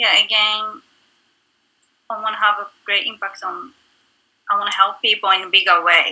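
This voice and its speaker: A woman with a Japanese accent speaks in a bright, sharp tone at a fairly high pitch and moderate pace, her intonation fairly even, with long, frequent pauses and big swings in loudness. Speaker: actress and singer. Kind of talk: interview. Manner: halting.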